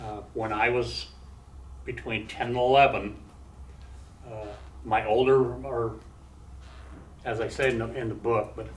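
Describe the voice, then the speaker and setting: Long, frequent pauses break up a man's speech, with audible room echo around him. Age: 60s. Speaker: former prisoner and recovering addict speaking to students. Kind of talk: talk and Q&A with college class. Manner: halting, with many fillers and restarts.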